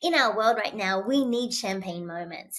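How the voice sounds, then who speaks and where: An energetic woman with an Australian accent and lively intonation, on a very clean recording with a silent background. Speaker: keynote speaker and author. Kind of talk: podcast interview.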